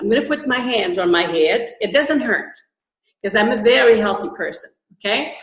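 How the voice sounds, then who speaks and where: A woman with a fairly high pitch talks at a moderate pace with lively intonation, and the room echo is audible. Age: 60s. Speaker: holistic healer and health food store owner. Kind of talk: interview. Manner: halting.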